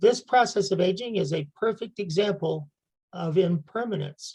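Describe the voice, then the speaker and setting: Somewhat breathy and dark, mellow in tone, a woman speaks at a medium pitch with an American accent. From United States. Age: 70s. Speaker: meditation guide. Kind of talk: prepared talk.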